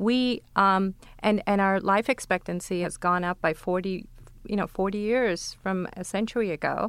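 A woman with an unremarkable speaking voice talks at medium pitch and a moderate pace, her intonation fairly even, in a very clean recording with a silent background. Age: 40s. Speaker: neurologist and memory researcher. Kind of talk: panel discussion.

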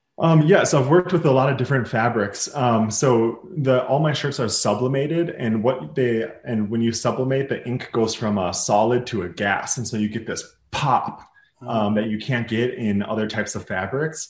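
This is an unremarkable speaking voice with an American accent. Its pitch varies in an ordinary way. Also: man, medium pitch for a man, moderate pace. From Minnesota, US Midwest. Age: 30s. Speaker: apparel brand founder. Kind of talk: interview.

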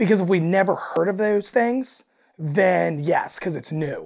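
A woman's raspy voice with vocal fry and a slightly mellow tone comes through on a very clean recording with a silent background.

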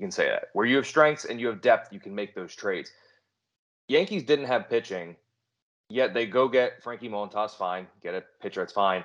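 With an ordinary speaking voice at medium pitch, a man talks at a moderate pace with lively intonation and big swings in loudness against a quiet background. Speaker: fantasy baseball podcast host. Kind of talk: casual chat.

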